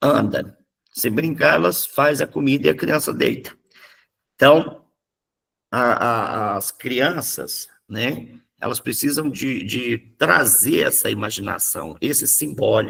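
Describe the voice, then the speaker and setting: A man with a Minas Gerais accent, very slow pace and long, frequent pauses. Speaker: psychoanalysis teacher. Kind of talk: lecture. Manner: animated.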